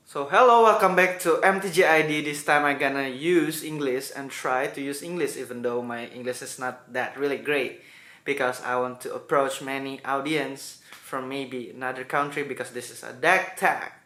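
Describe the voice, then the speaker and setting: A man with a fairly high voice talks at a moderate pace with hardly any pauses, normal pitch movement and big jumps in loudness, while the room gives back an audible echo. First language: Indonesian. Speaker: gaming YouTuber. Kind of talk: video intro.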